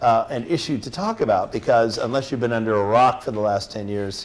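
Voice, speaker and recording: Using lively intonation and a General American accent, a man speaks at a fairly quick pace. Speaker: teacher and apologetics speaker. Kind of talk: lecture. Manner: fast; animated.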